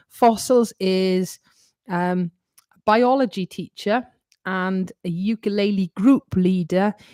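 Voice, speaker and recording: On a very clean recording with a silent background and a dry, close sound with no echo, a woman with a Welsh accent speaks at medium pitch with ordinary pitch variation and a dark, mellow tone. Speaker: ukulele teacher. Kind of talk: live stream Q&A. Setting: live stream. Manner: loud; animated.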